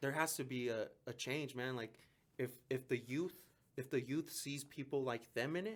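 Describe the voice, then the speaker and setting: A man with a Mexican accent talks in an animated tone at a moderate pace, with a medium pitch and ordinary pitch variation. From Mexico, raised in southwest Denver. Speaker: police officer. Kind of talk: casual chat. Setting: podcast.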